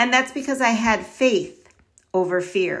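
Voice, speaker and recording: Intonation rises and falls in a lively way, at a moderate tempo. The voice is an unremarkable speaking voice. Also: woman. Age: 50s. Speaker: podcast host, educator and children's author. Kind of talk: motivational talk.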